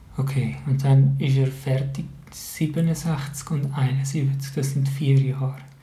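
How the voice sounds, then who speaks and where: Through audible room echo, a man with a Swiss accent speaks very slowly in a fairly high pitch with monotone, flat intonation. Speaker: podcast host, teacher. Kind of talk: casual game-show chat.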